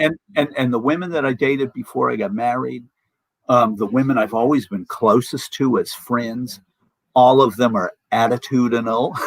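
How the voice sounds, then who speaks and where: This man has a normal speaking voice at a medium pitch. He keeps a moderate pace, and his pitch varies in an ordinary way. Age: 60s. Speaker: musician, political commentator. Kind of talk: casual chat.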